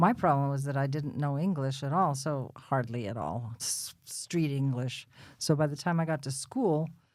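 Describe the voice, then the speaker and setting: The recording is very clean with a silent background. A woman with a New Jersey accent speaks at a moderate pace in a very deep, low pitch. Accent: New Jersey American. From Bayonne, New Jersey. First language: Russian. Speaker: podcast guest. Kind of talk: interview. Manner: casual, chatty.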